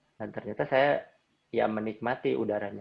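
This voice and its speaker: With a West Javanese accent, a man speaks at a medium pitch and a moderate pace, with ordinary pitch variation. Vocal fry runs through his voice. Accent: Sundanese. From Indonesia, Bandung (West Java). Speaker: trail runner. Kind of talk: interview.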